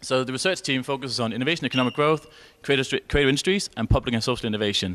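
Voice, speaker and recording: The man's pitch sits in the middle range. He rattles through his words very quickly. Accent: Danish. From Denmark. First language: Danish. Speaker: researcher. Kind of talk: conference presentation. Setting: conference session with audience and interpreters. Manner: very fast.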